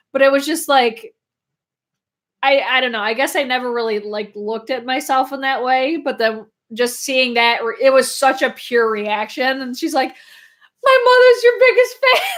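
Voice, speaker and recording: The recording is very clean with a silent background, and the speech moves at a moderate pace with ordinary pitch variation. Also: woman, high pitch for a woman. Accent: upstate New York. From upstate New York. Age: 20s. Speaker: beauty YouTuber. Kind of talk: casual livestream chat. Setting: live stream. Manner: animated.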